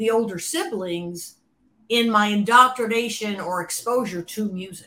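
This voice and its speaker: A woman with an American accent speaks at a fairly slow pace and a medium pitch. Her tone is bright and sharp, and her pitch varies in an ordinary way. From US Midwest, Cleveland, Ohio. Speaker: former album cover designer. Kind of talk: interview storytelling.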